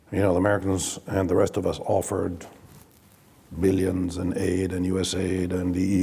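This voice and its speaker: A man speaks in an Italian accent with a very deep, low pitch. Audible room echo surrounds his voice. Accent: Italian accent, self-described as terrible. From Italy. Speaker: diplomat. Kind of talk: panel discussion. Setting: stage with audience. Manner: halting, with many fillers.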